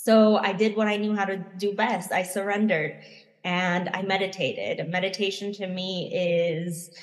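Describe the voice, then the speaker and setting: Heard with audible room echo, a woman with an American accent speaks at a moderate pace and medium pitch in a monotone, flat intonation. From United States. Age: 30s. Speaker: plant medicine facilitator and spiritual mentor. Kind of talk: interview conversation.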